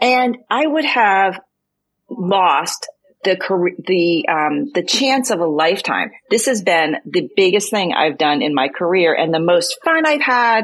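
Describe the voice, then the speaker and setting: Using very wide pitch swings at a very even loudness, a woman speaks in an American accent. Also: medium pitch for a woman, fairly slow pace. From US, Boston area. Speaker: writer and business owner. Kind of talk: casual chat.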